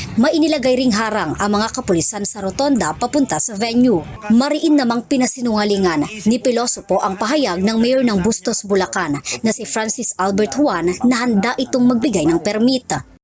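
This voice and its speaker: With music in the background, a woman speaks in a fairly high voice. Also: lively intonation, moderate pace. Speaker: news correspondent. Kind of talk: scripted news reporting. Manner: formal, measured, news-anchor delivery.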